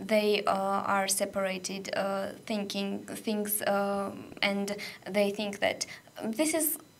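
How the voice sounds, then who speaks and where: A woman speaks at a very slow pace with a Georgian accent. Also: medium pitch for a woman, ordinary pitch variation. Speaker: radio volunteer. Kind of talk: radio interview. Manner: halting, many fillers.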